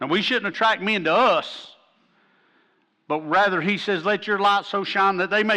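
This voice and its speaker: Delivered at a moderate pace in an Appalachian accent, the raised, projected voice has a bright, sharp tone. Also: man. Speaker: pastor. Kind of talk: sermon. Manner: animated.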